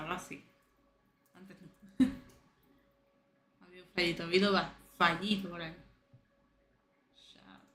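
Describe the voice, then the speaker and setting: This woman has a fairly low pitch and monotone, flat intonation. She keeps a moderate pace with long, frequent pauses. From Andalusia, Spain. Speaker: streamer. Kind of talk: casual live-stream gaming commentary. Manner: unfiltered, swears a lot.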